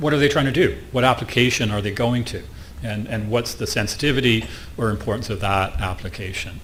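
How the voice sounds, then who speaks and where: The man's delivery is fairly quick. Clear background noise and some room echo can be heard. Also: medium pitch for a man, lively intonation. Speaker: conference speaker on IT security. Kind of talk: conference presentation. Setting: stage with audience. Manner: fast.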